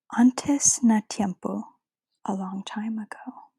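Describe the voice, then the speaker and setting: The voice is soft-spoken. Its pace is fairly slow. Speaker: ASMR creator. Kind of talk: ASMR book reading.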